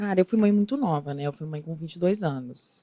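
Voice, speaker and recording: A woman with a Minas Gerais accent talks at a fairly quick pace in a fairly low, dark, mellow voice with lively intonation, the sound dry and close with no echo. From Minas Gerais, Brazil. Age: 30s. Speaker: actress. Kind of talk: interview.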